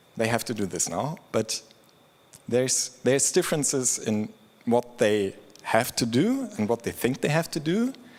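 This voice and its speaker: A man with a plain, everyday voice talks at a moderate pace in a medium pitch with lively intonation. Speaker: open source program lead. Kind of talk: conference talk.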